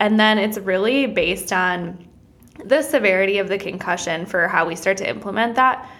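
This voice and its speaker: A woman with an American accent, medium pitch and an animated, nervous tone, at a moderate pace with ordinary pitch variation, over noticeable background noise. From Wisconsin, US Midwest. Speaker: physical therapist and business owner. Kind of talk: casual interview chat. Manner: animated, a little nervous.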